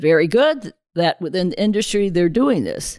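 In a plain, everyday voice, a woman with an American accent speaks at a moderate pace, her fairly low pitch showing ordinary variation in a dry, close sound with no echo. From US South. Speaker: president of a sport fishing conservation group. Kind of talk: podcast interview.

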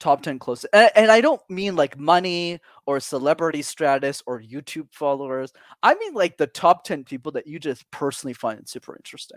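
Recorded very cleanly against a silent background with a dry, close sound and no echo, a plain, everyday voice shows big swings in loudness and ordinary pitch variation. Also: man, fairly high pitch for a man. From Montreal, Canada. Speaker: public speaking coach. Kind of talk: interview conversation.

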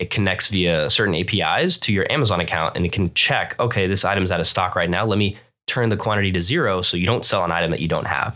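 On a very clean recording with a silent background, a man with an American accent talks very fast at a very deep, low pitch, his tone bright and sharp and his loudness very even. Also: ordinary pitch variation, hardly any pauses. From Florida, US. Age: 20s. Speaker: online seller, entrepreneur. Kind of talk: casual interview chat. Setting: studio.

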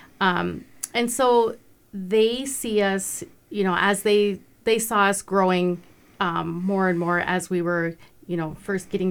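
An unremarkable speaking voice from a woman with an American accent, medium in pitch, fairly slow and fairly even in intonation, on a very clean recording with a silent background. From Montana, Browning. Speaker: non-profit founder, business owner. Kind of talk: radio interview.

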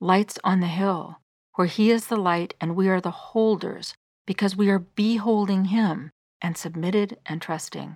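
A woman with a normal speaking voice talks at medium pitch and a fairly slow pace, her intonation fairly even, on a very clean recording with a silent background. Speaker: devotional podcast host. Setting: solo studio recording. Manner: earnest, gentle, fervent; measured, sincere.

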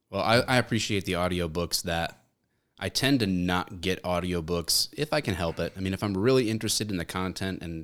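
On a very clean recording with a silent background, a man with a Michigan accent talks at a fairly quick pace in an animated tone, his very deep, low voice showing ordinary pitch variation. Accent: Michigan, general American. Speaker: former police officer, content creator. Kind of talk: casual chat. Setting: studio. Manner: joking, animated.

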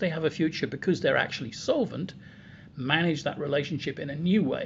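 A man speaks very fast in a fairly high voice, his pitch varying in an ordinary way. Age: 60s. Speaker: business consultant. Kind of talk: podcast interview.

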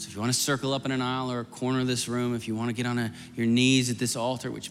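A man at a medium pitch talks at a very fast pace, with music in the background and audible room echo. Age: 40s. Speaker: guest preacher and youth minister. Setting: church sanctuary with congregation and altar. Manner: earnest, pastoral and urgent, with repeated phrases like as soon as I say amen; run-on and flowing, words tumbling together with few pauses.

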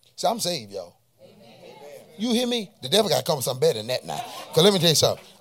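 A man talks at a very fast pace in an animated tone, with big swings in loudness and long, frequent pauses. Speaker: preacher. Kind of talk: sermon. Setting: church with congregation. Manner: animated, call-and-response, pulpit-style preaching with rising intensity; exhorting the congregation with rhetorical questions and repetition.

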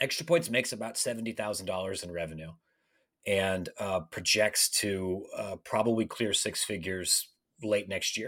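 A man with a Midwestern US accent speaks at a fairly low pitch in a bright, sharp tone. The recording is very clean, the background silent. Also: ordinary pitch variation, moderate pace. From Ohio, Licking County near Columbus. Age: 30s. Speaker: college sports writer. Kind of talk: podcast interview.

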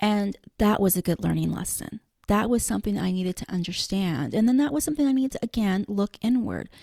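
A woman's medium-pitched voice has a dark, mellow tone and is somewhat breathy. She speaks with hardly any pauses. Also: lively intonation, fairly quick pace, dry, close sound with no echo. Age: 40s. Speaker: podcast host and blogger. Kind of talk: casual chat. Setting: remote recording.

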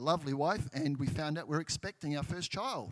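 With a New Zealand accent, a man speaks in a fairly high pitch with ordinary pitch variation. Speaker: church member, former missionary. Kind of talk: testimony.

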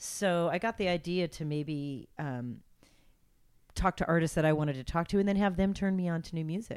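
A woman speaks in an ordinary speaking voice with an American accent, fairly low in pitch with ordinary pitch variation, at a moderate pace. The recording is very clean with a silent background. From Los Angeles, California. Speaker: radio host. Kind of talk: casual interview chat. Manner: friendly, conversational.

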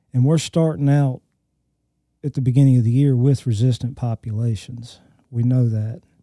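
The tone is dark and mellow, with an Alabama accent and fairly even intonation at a moderate pace. Long, frequent pauses break it up, and the sound is dry and close with no echo. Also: man, medium pitch for a man. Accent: Southern US (Alabama). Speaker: crop entomologist. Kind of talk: casual technical discussion. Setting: studio.

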